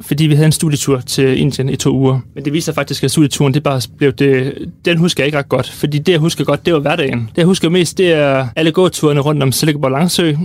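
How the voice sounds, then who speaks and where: A man with an unremarkable speaking voice talks at a fairly quick pace, with hardly any pauses. His fairly high pitch holds a fairly even intonation. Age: 20s. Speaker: university student. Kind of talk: casual chat. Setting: studio.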